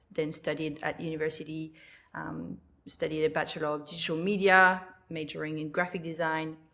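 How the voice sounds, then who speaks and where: Monotone and flat, a woman's very deep, low voice with a bright, sharp tone moves at a fairly quick pace. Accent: French. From New Caledonia. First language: French. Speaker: lettering artist and online teacher. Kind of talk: podcast interview. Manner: hesitant, many fillers.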